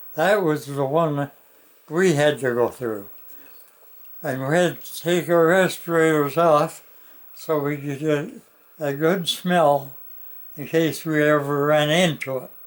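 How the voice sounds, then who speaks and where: With a Canadian accent, a man speaks very slowly in a fairly high voice, with fairly even intonation and long, frequent pauses. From Canada. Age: 80s+. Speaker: war veteran. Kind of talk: interview answer.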